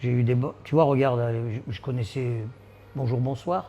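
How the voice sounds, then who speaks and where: This man's voice is somewhat breathy and dark, mellow in tone. He speaks at medium pitch and a fairly slow pace. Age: 70s. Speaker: amputee gym member. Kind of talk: interview. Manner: halting.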